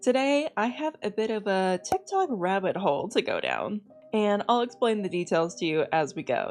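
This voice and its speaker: Music plays in the background as a woman speaks at a moderate pace. Her medium pitch moves in very wide swings. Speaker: VTuber. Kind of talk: casual reaction commentary to camera.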